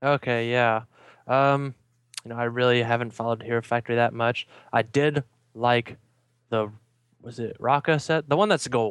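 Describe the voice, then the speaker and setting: A man with a Minnesotan accent speaks at a moderate pace and medium pitch, with fairly even intonation and long, frequent pauses. The recording is very clean with a silent background and a dry, close sound with no echo. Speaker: fan podcast guest. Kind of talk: casual chat.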